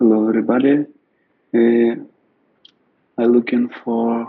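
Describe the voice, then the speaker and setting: A man's medium-pitched voice in a flat monotone. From Ukraine. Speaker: ecovillage network coordinator. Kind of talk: presentation. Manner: halting, many fillers.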